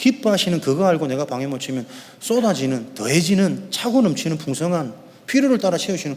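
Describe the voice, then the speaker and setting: This man talks at a fairly quick pace with a fairly high pitch. His pitch swings very wide. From Korea, Yeongdo (Busan). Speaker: pastor. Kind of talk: sermon. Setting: church. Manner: fast.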